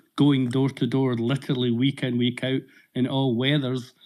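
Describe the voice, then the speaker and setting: A man with a Scottish accent speaks at a medium pitch and a moderate pace. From Scotland. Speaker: audience member on political live audio space. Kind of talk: question in live audio discussion. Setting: online audio space.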